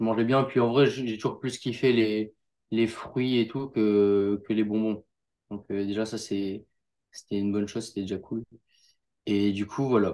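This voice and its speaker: A man with a fairly low voice and a dark, mellow tone talks at a fairly slow pace in a flat monotone, with long, frequent pauses, on a very clean recording with a silent background. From northern France, near Lille. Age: young. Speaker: jiu-jitsu athlete. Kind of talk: interview. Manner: casual, hesitant.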